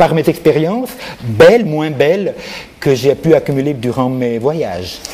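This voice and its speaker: Against noticeable background noise, a man with a non-native accent speaks at a fairly slow pace. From Switzerland, Neuchâtel (grew up from age 14). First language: not French (speaking French). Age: 60s. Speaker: artist. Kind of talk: interview. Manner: halting, many repetitions.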